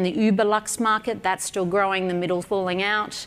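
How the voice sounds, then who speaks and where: Speaking fairly quickly in an Australian accent, a woman keeps a medium pitch and a monotone, flat intonation. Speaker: entrepreneur and business mentor. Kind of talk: speech to event audience.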